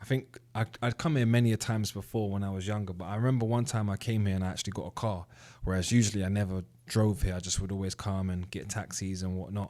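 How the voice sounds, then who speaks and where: Very fast and in a British accent, the voice has a dark, mellow tone and fairly even intonation on a very clean recording with a silent background. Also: man, fairly low pitch for a man. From UK. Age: 30s. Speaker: trading educator. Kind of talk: casual commentary to camera. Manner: conversational, with fillers.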